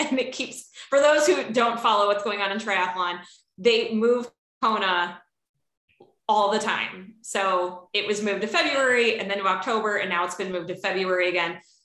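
With a slight Chicago accent, a woman of medium pitch speaks at a moderate pace in a bright, sharp tone, with audible room echo. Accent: slight Chicago flat A. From Chicago, US Midwest. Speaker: outdoor industry professional at a bike company. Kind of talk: casual interview.

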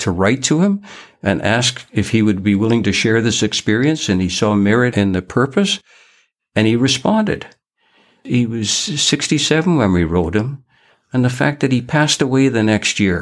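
This man has an ordinary speaking voice. He keeps a moderate pace at very even loudness. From Canada, raised in British Columbia from age nine after moving from Liverpool. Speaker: retired fishing guide and conservation volunteer. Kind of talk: interview, casual conversation. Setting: remote, from home.

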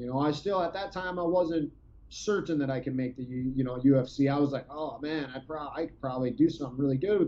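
Ordinary pitch variation marks this man's fairly high-pitched voice. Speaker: former MMA fighter. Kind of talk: casual chat. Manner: animated.

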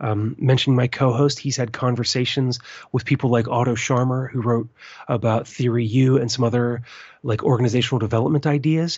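In an American accent, a man with a medium pitch talks at a fairly quick pace. His voice is somewhat breathy, with monotone, flat intonation. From US, western Maryland. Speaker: permaculture podcast host. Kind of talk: interview.

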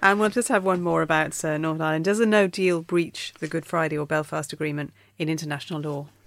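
With a British accent, a woman speaks very fast with hardly any pauses, her very deep, low pitch showing ordinary variation on a very clean recording with a silent background. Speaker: podcast host. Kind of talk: casual political discussion.

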